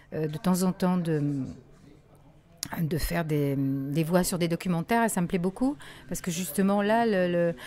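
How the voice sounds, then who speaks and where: Her dark, mellow tone sits at a fairly low pitch, and this woman uses ordinary pitch variation. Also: long, frequent pauses. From Morocco. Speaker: voice actor. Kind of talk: interview answer.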